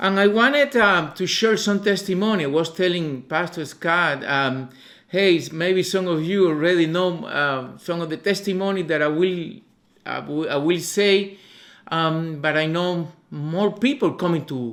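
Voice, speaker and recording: A man with a Cuban accent and a high pitch, ordinary pitch variation, a fairly slow pace, and audible room echo. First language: Spanish. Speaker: visiting missionary preacher. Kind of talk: sermon testimony. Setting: church. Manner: halting, many fillers.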